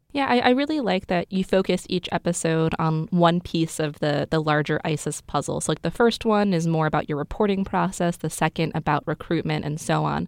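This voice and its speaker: In a dry, close recording with no echo, a woman with a plain, everyday voice speaks at a fairly low pitch with ordinary variation and hardly any pauses. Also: fairly quick pace. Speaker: interviewer, journalist. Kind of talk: interview.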